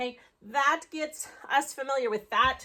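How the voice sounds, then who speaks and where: A woman uses a raised, projected voice with a bright, sharp tone. Her pitch is high. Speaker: elementary school teacher. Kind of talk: tutorial.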